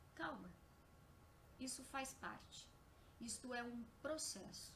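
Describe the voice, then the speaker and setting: A soft-spoken woman talks very slowly in a high pitch with fairly even intonation, and audible room echo surrounds her voice. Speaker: spiritist lecturer. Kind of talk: lecture. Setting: live stream on Facebook. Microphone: too quiet at first, then boosted.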